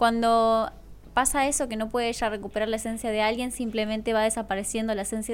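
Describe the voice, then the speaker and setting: A woman speaks at a very fast pace with a fairly high pitch. Her intonation is monotone and flat. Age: 20s. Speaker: influencer and model. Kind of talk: casual chat.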